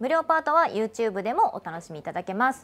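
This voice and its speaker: This woman's voice is high in pitch, with lively intonation. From Kanagawa, Japan. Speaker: voice actor and show host. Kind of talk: casual talk to camera, livestream radio-style show. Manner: cheerful, chatty. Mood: cheerful, friendly. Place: studio. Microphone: lapel.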